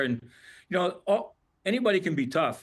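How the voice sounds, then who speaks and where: A man is speaking here. The background is quiet. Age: 70s. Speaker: retired hockey player. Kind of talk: interview.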